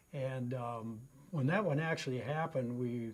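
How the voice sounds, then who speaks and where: A man's medium-pitched voice carries a somewhat breathy quality. He talks at an unhurried but not slow speed. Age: 70s. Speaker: customer testimonial, retired runner. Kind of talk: testimony. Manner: casual, with frequent fillers.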